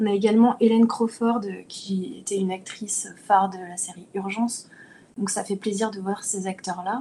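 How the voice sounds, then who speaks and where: An unremarkable speaking voice from a woman at medium pitch, moderate in pace, with fairly even intonation and big swings in loudness. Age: 30s. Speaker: actress and podcast panelist. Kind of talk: casual chat.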